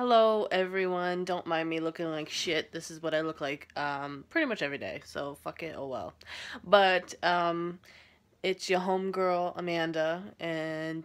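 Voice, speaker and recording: Fairly low in pitch, a woman speaks in a plain, everyday voice at a fairly slow pace with fairly even intonation. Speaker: first-time vlogger. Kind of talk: casual vlog chat. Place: home room. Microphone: phone near.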